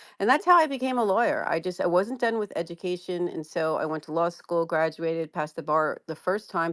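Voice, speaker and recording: With a New Jersey accent, a woman talks at a fairly quick pace in a fairly low pitch, with ordinary pitch variation. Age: 60s. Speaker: commercial real estate lawyer. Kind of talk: interview, personal background story.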